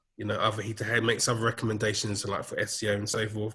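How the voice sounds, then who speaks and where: A man speaks with a London accent. His voice sits fairly low and has a bright, sharp tone. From London, England. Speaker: digital marketing manager. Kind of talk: casual interview chat. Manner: hesitant, many fillers.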